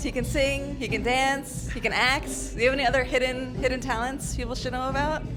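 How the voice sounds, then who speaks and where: A woman's upbeat, playful voice at a fairly quick pace, with hardly any pauses and music in the background. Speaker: music interviewer. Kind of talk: interview questions.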